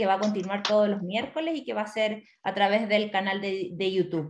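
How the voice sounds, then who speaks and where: A woman with an unremarkable speaking voice, medium pitch and a fairly quick pace. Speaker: event host. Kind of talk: webinar introduction. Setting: online live stream.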